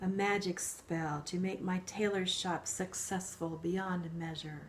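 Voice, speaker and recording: A woman growls in a put-on character voice at medium pitch, fairly slow and monotone with flat intonation, over clear background noise. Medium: read story.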